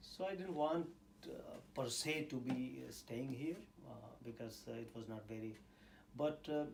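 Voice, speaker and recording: Speaking at a moderate pace with long, frequent pauses, a man with a medium-pitched voice and ordinary pitch variation is heard in a room with audible echo. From India. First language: Indian language; English is third language. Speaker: scientist and university teacher. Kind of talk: interview. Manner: hesitant, many fillers.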